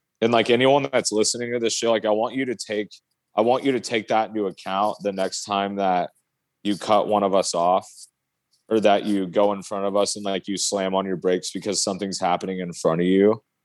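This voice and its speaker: A man with an American accent and an ordinary speaking voice, fairly low in pitch, at a fairly quick pace with fairly even intonation. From Oregon, US. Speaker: metal guitarist and truck driver. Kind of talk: casual chat.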